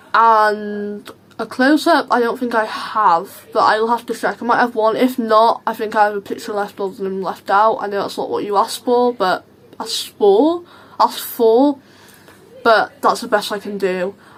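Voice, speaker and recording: A woman speaks at a fairly high pitch and a moderate pace, with ordinary pitch variation. Noticeable background noise runs behind her. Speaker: vlogger. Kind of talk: casual vlog Q&A. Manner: chatty, halting with fillers.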